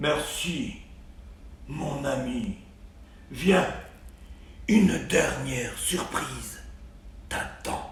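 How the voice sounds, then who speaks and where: A man's put-on character voice at a very slow pace, with long, frequent pauses and a slight echo. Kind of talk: bedtime story. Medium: read story. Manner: regal, authoritative.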